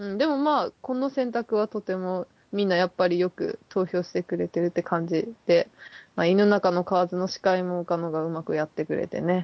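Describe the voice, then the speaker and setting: A woman's mumbling at a medium pitch, with ordinary pitch variation. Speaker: podcast co-host. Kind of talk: casual chat. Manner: fast.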